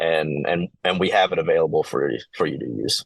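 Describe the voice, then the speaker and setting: A man with a Kentucky accent. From eastern Kentucky. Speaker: outdoor education business owner. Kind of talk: podcast interview. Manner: halting, many fillers.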